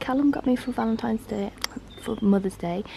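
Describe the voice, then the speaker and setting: Over noticeable background noise, a woman with an English accent speaks at a moderate pace with lively intonation. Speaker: vlogger. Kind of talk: casual vlog talk. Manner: soft-spoken.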